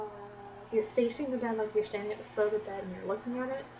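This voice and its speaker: A woman with an American accent speaks at a very fast pace. Her pitch is fairly high. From Florida, US South. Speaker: beauty vlogger. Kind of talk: casual vlog tag video. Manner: animated.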